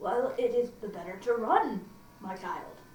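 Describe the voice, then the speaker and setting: In a put-on character voice, a woman speaks gruffly at a moderate pace and fairly high pitch, with a slight echo. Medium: read story. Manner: sly.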